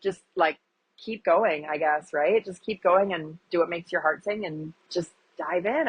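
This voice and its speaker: A woman's fairly low voice with a Wisconsin accent, moderate pace and ordinary pitch variation. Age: 40s. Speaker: agriculture advocate and influencer. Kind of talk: interview.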